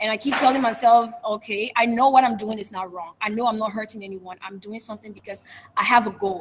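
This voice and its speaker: Over noticeable background noise, the voice rushes at a very fast pace with big swings in loudness and fairly even intonation. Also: woman, fairly high pitch for a woman. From Liberia. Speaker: public speaker. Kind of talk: interview.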